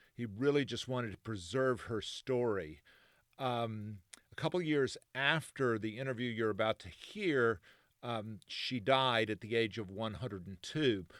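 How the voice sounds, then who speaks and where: In a very clean recording with a silent background, a man with an unremarkable speaking voice talks at a fairly slow pace. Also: medium pitch for a man, ordinary pitch variation. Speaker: oral history interviewer. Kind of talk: podcast intro narration.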